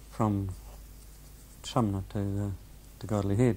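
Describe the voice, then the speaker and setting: A man's dark, mellow voice, somewhat breathy. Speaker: former coastal battery gunner, war veteran. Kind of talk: oral history interview answer, anecdote. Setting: interview recording, home or school.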